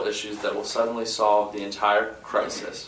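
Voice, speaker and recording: Noticeable background noise and audible room echo fill the recording. Through them, a man talks at a moderate pace. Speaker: student leader. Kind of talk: press conference statement. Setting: press conference. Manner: halting, with fillers.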